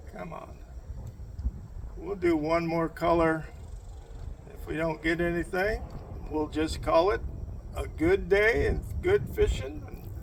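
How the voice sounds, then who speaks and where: Very slow speech with long, frequent pauses and big swings in loudness, over noticeable background noise. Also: man. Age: 70s. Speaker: fishing vlogger. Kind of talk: casual fishing vlog narration. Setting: outdoors on a lake dock.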